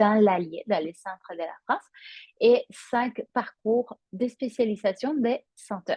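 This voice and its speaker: A woman talks at a very slow pace in a fairly high, somewhat breathy voice. Her words come out unhurried and airy. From Spain. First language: Spanish (speaking French). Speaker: yoga teacher. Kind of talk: promotional presentation. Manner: hesitant, many fillers.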